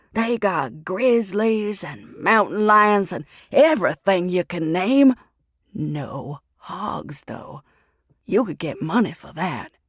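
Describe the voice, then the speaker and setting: The speaker uses a put-on character voice with a raspy quality. Delivery is very slow. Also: woman, medium pitch for a woman, big swings in loudness. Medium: read story. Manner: blunt, folksy, pushy.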